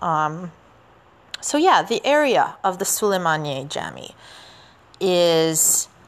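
Within noticeable background noise, a very slow voice with a Canadian accent carries lively intonation and long, frequent pauses. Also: woman, fairly low pitch for a woman. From Canada. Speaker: podcast host and teacher. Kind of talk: solo history podcast narration. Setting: outdoors walking in the city. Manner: casual, with many fillers.

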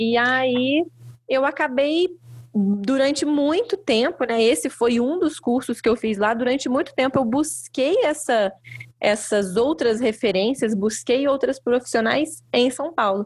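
Very even loudness and ordinary pitch variation at a fairly slow pace, on a very clean recording with a silent background. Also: woman, high pitch for a woman. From interior of Rio de Janeiro state, Brazil. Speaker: belly dance teacher. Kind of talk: casual chat.

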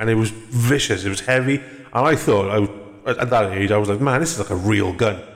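Over noticeable background noise, a man with a fairly low pitch talks very fast. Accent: Welsh. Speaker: podcast host. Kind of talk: casual chat.

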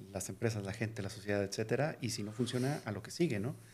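The speaker is a man. His voice is pitched in the middle range. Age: 40s. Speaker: tech company CEO. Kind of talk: casual interview. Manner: halting, many repetitions.

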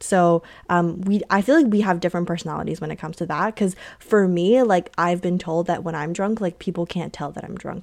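Heard on a very clean recording with a silent background, a normal speaking voice moves at a moderate pace. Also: woman. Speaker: podcast co-host, university student. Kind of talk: casual chat.

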